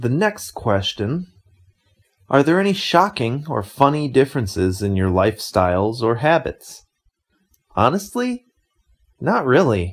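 A somewhat breathy man with an American accent talks at a medium pitch with very wide pitch swings. He goes at a fairly slow pace with long, frequent pauses. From United States. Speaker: podcast host. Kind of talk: scripted narration.

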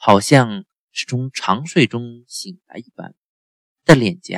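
Someone reads aloud in a natural voice, the intonation lively. All around is quiet.

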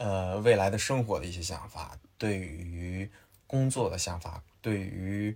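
A man speaks in a somewhat breathy voice. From Henan, China. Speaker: tech startup founder. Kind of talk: casual chat. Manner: halting.

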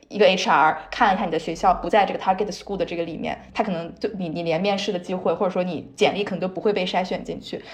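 Noticeable background noise sits under a woman talking very fast at a medium pitch with fairly even intonation. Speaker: podcast co-host. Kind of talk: casual chat.

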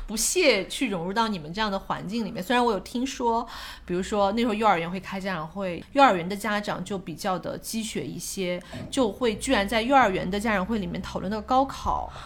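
At a fairly quick pace, a woman of medium pitch talks in a plain, everyday voice. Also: ordinary pitch variation. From Shanghai, China. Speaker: guest sharing life story. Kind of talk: casual chat. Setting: at a home.

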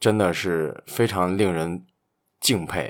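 A man speaks with a very deep, low pitch at a fairly slow pace. The recording is very clean, with a silent background. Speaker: basketball podcast host. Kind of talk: casual chat.

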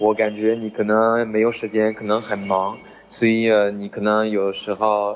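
A man speaks with a French accent. His intonation stays monotone and flat. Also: fairly low pitch for a man, moderate pace. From France. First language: French (speaking Chinese). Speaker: French teacher. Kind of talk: lecture. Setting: group chat voice message. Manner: halting.

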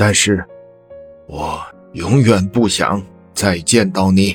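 A man's put-on character voice, fairly low-pitched and very slow, over faint background music. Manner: slow, word by word, cold.

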